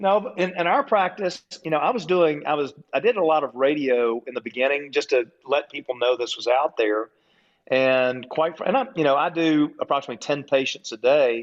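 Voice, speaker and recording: An ordinary speaking voice from a man, fairly high in pitch, with lively intonation and a fairly quick pace. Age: 60s. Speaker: wellness clinic owner. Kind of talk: casual chat.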